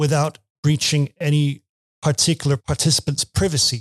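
A man with a fairly high pitch speaks at a fairly slow pace, his voice somewhat breathy and the sound dry and close with no echo. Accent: Danish. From Denmark. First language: Danish. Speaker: university lecturer. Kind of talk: podcast interview. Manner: halting, many repetitions.

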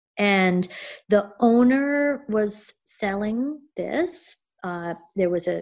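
A voice in an American accent, dark and mellow in tone, speaks at a very slow pace against a quiet background. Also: woman. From Connecticut. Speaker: potter. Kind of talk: interview.

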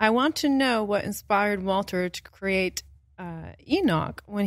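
Here is a woman with an ordinary speaking voice, medium pitch and ordinary pitch variation, talking at a fairly slow pace. The recording is very clean, with a silent background. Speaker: podcast co-host. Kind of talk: casual chat. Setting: stage with audience.

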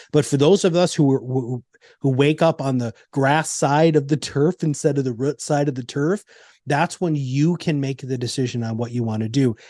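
Ordinary pitch variation and a moderate pace in a dark, mellow tone. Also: man. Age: 50s. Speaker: navy veteran, entrepreneur and former business coach. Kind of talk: casual interview.

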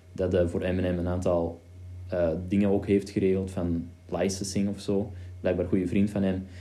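Audible room echo surrounds a dark, mellow tone delivered with monotone, flat intonation. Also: man, very deep, low pitch for a man, moderate pace. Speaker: podcast host, video creator. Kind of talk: casual chat. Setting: home studio.

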